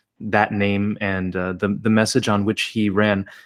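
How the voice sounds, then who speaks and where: The recording is very clean, with a silent background. A man with an unremarkable speaking voice and an American accent talks at a moderate pace and a fairly low pitch. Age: 30s. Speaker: podcast host. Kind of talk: interview conversation.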